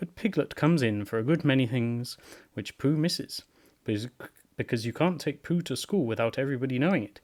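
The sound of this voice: Reading in an unforced reading voice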